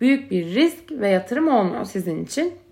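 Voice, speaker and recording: A woman's normal speaking voice, fairly high-pitched, at a moderate pace. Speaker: podcast host. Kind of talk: solo monologue podcast.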